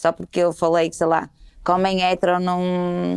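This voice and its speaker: Moderate pace from a woman, the sound dry and close with no echo. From Portugal, Porto. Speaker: comedian and storyteller. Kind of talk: casual conversation.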